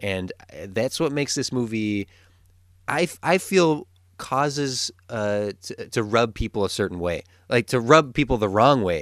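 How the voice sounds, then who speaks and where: A man with a normal speaking voice talks at a medium pitch and a fairly slow pace, with lively intonation. The recording is very clean, with a silent background. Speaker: podcast host. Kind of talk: casual chat.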